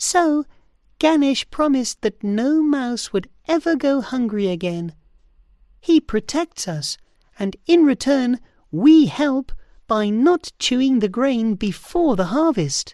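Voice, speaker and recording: A female-sounding voice puts on a high-pitched character voice and speaks at a fairly slow pace. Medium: read story. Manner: friendly, reassuring.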